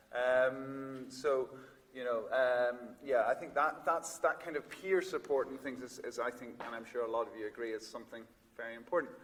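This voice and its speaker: Over noticeable background noise, a man at a medium pitch speaks at a moderate pace, with ordinary pitch variation and big swings in loudness. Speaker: psychiatrist and researcher. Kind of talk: conference talk. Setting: stage with audience. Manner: hesitant, many fillers.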